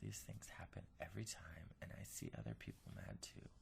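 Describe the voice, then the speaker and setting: A man speaks. His voice has vocal fry. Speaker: ASMR whisper video creator. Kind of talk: reading a restaurant review aloud. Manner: quiet, conversational.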